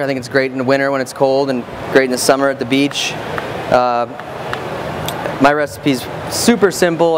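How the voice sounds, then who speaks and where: Very fast talking from a man, with noticeable noise behind him. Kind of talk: cooking demonstration. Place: stage. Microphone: lapel.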